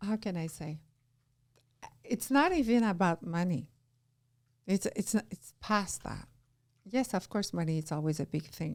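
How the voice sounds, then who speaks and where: Speaking fairly slowly at a medium pitch, a woman uses lively intonation and long, frequent pauses in a very clean recording with a silent background. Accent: Quebec. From Quebec, Canada. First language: French. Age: 50s. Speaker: entrepreneur. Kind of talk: casual chat. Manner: animated.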